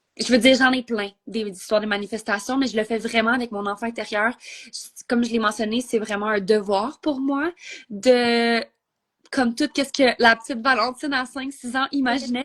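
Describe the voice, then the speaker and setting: Over a quiet background, a woman with a Quebec accent talks at a moderate pace, her fairly high pitch held in fairly even intonation. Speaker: entrepreneur. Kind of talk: interview. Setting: Instagram live.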